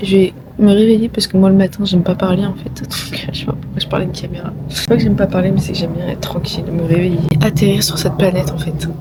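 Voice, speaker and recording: Over noticeable background noise, a woman talks at a very fast pace with a fairly low pitch and fairly even intonation. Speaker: vlogger and business coach. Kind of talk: casual vlog talk to camera. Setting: outdoors in Los Angeles. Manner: casual, hesitant with fillers.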